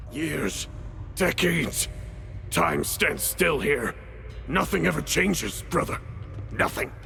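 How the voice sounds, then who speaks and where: A man in a put-on character voice speaks at a fairly slow pace with long, frequent pauses amid clear background noise. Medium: video game. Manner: halting, broken phrases.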